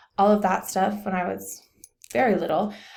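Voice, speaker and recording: Fairly even intonation and an American accent come through audible room echo. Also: woman. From Texas. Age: 20s. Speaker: college student. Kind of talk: personal talk on own background. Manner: hesitant, many fillers.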